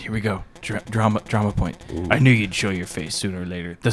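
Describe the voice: Just plain reading aloud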